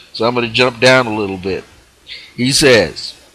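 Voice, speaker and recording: Medium-pitched male speech with noticeable noise in the background. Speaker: spiritual teacher. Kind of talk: live spiritual teaching broadcast. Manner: explanatory, emphatic, reading aloud from a book.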